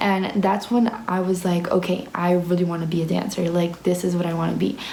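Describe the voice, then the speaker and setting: A woman with a fairly low pitch talks at a fairly quick pace, with audible room echo and noticeable background noise. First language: Spanish. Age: young. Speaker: ballet student and vlogger. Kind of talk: casual Q&A vlog. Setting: ballet dorm room. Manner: animated.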